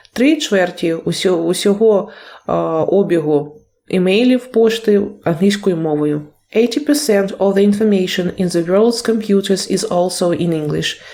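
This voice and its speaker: Her tone dark and mellow, a woman talks at a medium pitch and fairly slow pace with ordinary pitch variation. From Ukraine. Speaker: English teacher. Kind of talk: video lesson. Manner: halting, with self-corrections.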